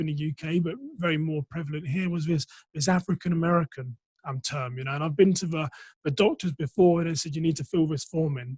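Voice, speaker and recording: Recorded with a dry, close sound and no echo, a man with an English accent talks at a fairly high pitch with ordinary pitch variation. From England, Reading. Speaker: entrepreneur, former police officer. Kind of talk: interview conversation. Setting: podcast recording.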